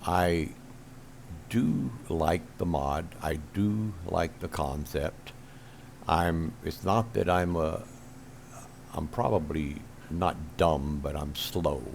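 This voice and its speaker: Speaking at a very slow pace with long, frequent pauses, a man uses a very deep, low pitch and ordinary pitch variation. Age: 70s. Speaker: gaming video creator. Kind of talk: casual monologue to camera. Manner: halting, with many fillers.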